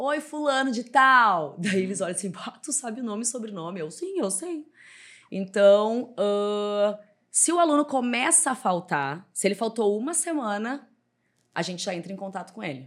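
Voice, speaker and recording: Her fairly high voice swings very widely in pitch and greatly in loudness, captured on a very clean recording over a silent background. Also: moderate pace. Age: 30s. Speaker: personal trainer and gym owner. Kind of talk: casual interview.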